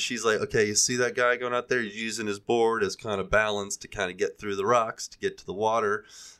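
This man has an American accent and a bright, sharp tone. He speaks fairly quickly at medium pitch on a very clean recording with a silent background. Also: hardly any pauses, big swings in loudness. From US Gulf Coast. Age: 40s. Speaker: podcast co-host. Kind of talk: casual chat.

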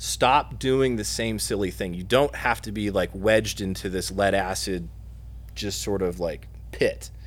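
Speaking at a fairly slow pace, a man talks with a Midwestern US accent. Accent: US Midwest. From Indiana, Muncie. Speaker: battery company product manager. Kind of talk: podcast interview.

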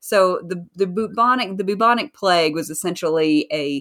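This is a woman speaking with a Southern US accent. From US South. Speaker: author. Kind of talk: casual interview chat.

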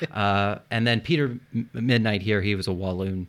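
A man's fairly low voice with a Philadelphia accent, ordinary pitch variation and a moderate pace. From Philadelphia, US. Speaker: history podcast host. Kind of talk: casual history lesson chat. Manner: animated.

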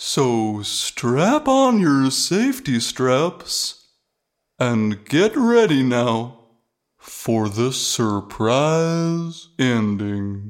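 The speaker talks at a very slow pace with a low-to-middle pitch. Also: very clean recording, silent background. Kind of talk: cheesy radio announcer. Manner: gushing, rambling, folksy.

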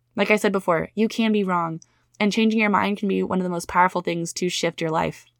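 A woman's medium-pitched, animated voice at a very fast pace, very clean with a silent background and a dry, close sound with no echo. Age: 30s. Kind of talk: solo podcast monologue.

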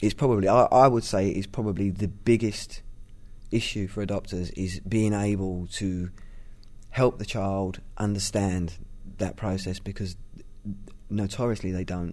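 A man with a London accent speaks in a fairly low pitch. His intonation is fairly even, with long, frequent pauses. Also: moderate pace. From East London. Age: 30s. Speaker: adoptive parent and writer. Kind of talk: interview. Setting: in person. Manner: halting, many fillers and repetitions.

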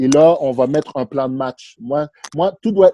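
A man with a fairly high pitch and a dark, mellow tone speaks at a moderate pace in a dry, close sound with no echo. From Montreal, Quebec (Villeray). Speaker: real estate broker. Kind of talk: interview.

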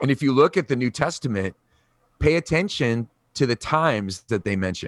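At a fairly quick pace, a man speaks with lively intonation at a medium pitch in an unremarkable speaking voice. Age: 40s. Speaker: podcast co-host, church leader. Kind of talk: casual conversation about church. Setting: remote recording from his garage.

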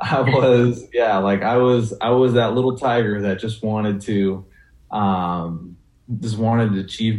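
A man with an American accent, fairly low-pitched, at a fairly slow pace with fairly even intonation. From western Washington, US (Burlington, Skagit Valley). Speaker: CrossFit athlete, former college football player. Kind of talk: interview. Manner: halting, many fillers.

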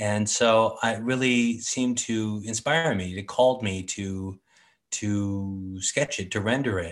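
In an American accent, a man with an ordinary speaking voice talks at a fairly slow pace and fairly low pitch with ordinary pitch variation over a quiet background. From San Francisco, California. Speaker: artist, sketching group organizer. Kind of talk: casual interview.

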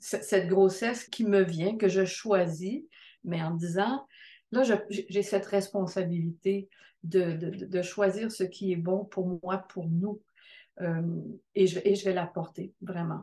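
Against a quiet background, a woman with a medium pitch, a dark, mellow tone and a somewhat breathy sound speaks at a very slow pace, with fairly even intonation and long, frequent pauses. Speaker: midwife. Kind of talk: testimony.

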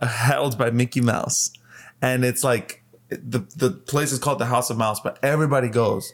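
At a moderate pace, a man talks in a plain, everyday voice at medium pitch with fairly even intonation. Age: 20s. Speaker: podcast co-host, movie and TV fan. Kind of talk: casual chat.

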